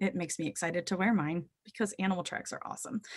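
The background is quiet. A woman speaks with fairly even intonation. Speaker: zoo educator. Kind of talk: webinar presentation to students. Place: home room. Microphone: webcam.

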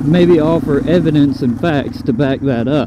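Loud background noise surrounds a man speaking at a fairly slow pace. His pitch variation is ordinary and the sound is dry, with no echo. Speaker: motorcycle vlogger. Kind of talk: casual vlog chat. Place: motorbike.

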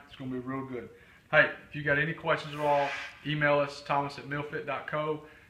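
Over audible room echo, a man talks at a very fast pace in a monotone, flat intonation. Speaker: fitness meal coach. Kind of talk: cooking tutorial. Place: kitchen. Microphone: camera far.

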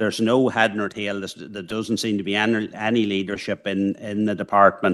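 A man with a fairly low pitch, a fairly bright tone, and fairly even intonation.

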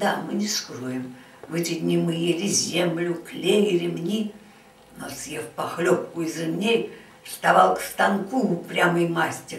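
A woman's fairly low voice at a very slow pace, with ordinary pitch variation and audible room echo. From Saint Petersburg. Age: 80s+. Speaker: siege survivor. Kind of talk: poetry reading. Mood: solemn, grave. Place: home room. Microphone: camera far.

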